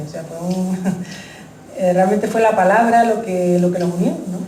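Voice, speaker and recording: A soft-spoken woman with fairly even intonation, heard through noticeable background noise and audible room echo. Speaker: author presenting her book. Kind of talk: book presentation talk. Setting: public event with audience. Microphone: uses a microphone because she speaks quietly.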